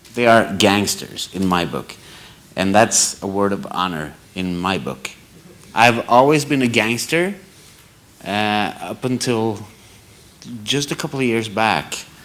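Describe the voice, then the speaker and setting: A man with a Norwegian accent speaks at a fairly low pitch with lively intonation. He leaves long, frequent pauses. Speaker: audience member at photography debate. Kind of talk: panel Q&A question. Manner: halting.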